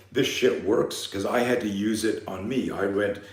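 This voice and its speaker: A man talks at a moderate pace with fairly even intonation. Audible room echo surrounds his voice. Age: 60s. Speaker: fear management coach and self-defense instructor. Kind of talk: live seminar talk.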